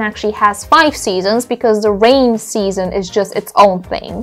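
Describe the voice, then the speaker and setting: Faint music sits in the background. A woman speaks at a moderate pace with ordinary pitch variation. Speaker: travel vlogger. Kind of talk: casual vlog chat. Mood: playful, opinionated. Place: home room. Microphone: lapel.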